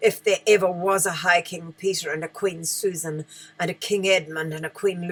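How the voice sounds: Natural-sounding reading voice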